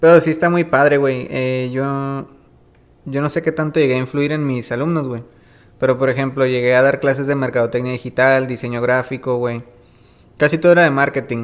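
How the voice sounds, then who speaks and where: With an unremarkable speaking voice, a man speaks at a medium pitch and a fairly quick pace, his intonation fairly even. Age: 30s. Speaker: musician and music producer. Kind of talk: casual interview. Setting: small snack shop. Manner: relaxed, colloquial.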